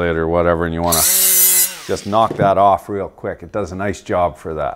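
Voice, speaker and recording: The speech has ordinary pitch variation. Background noise is noticeable. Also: man. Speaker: tool reviewer. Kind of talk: casual tool review commentary. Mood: dry sarcastic humor. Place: workshop.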